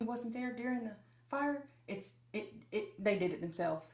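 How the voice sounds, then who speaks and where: A woman with a Southern US accent at a fairly quick pace, amid noticeable background noise and audible room echo. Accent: mild Southern country. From US South, Nashville, Tennessee. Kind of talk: casual chat.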